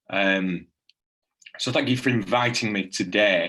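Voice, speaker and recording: Fairly even intonation from a man with a bright, sharp tone. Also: quiet background. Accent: Lancashire. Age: 20s. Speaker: local councillor and support worker. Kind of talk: presentation. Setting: video call.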